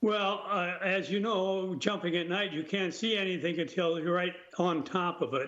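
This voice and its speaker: A man speaks at a high pitch and moderate pace, with fairly even intonation and very even loudness. Audible room echo and noticeable background noise are present. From United States. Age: 90s. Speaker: war veteran. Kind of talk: interview.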